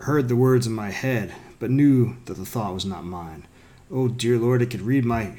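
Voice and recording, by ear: Natural-voiced reading of a text, pitch moving in an ordinary way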